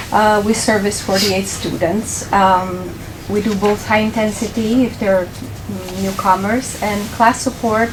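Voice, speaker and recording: A woman with a Romanian accent speaks at a moderate pace and medium pitch, in a monotone, flat way. Audible room echo and noticeable background noise fill the recording. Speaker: ESL teacher. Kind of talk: presentation. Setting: board meeting.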